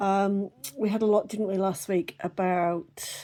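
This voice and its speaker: A woman with a British accent, a dark, mellow tone and ordinary pitch variation. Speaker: oracle card reader. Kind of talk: casual spiritual reading.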